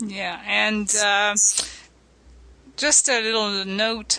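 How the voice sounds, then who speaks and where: A woman with a fairly high pitch talks at a very slow pace, her intonation fairly even. Noticeable background noise sits behind her. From French, living in Canada. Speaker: radio show co-host, interviewer. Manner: calm, asks short prompting questions.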